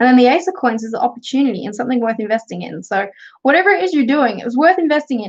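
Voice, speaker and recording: A woman's high-pitched voice with an Australian accent, very fast pace, lively intonation and big swings in loudness. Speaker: tarot reader and craft youtuber. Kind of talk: livestream tarot reading. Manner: casual.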